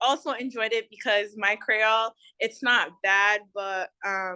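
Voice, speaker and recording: A woman with an American accent speaks at a fairly slow pace in a bright, sharp tone, her fairly high pitch showing ordinary variation. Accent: American-sounding. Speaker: student volunteer tutor. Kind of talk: casual chat.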